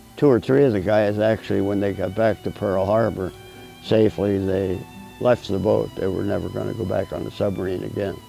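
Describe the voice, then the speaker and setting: Music plays in the background. Over it, a man talks with fairly even intonation. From Pennsylvania, USA. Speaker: war veteran. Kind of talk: interview answer.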